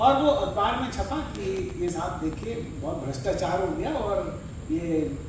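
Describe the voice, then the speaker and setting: Amid noticeable background noise and audible room echo, a man's pitch swings very widely. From eastern Uttar Pradesh, India. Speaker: university vice-chancellor. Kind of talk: formal speech.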